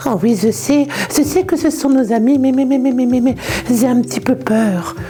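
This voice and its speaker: This cartoonish character voice sits at a fairly high pitch and moves at a moderate pace, with clear background noise behind it. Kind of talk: children's puppet show. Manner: stammering, nervous.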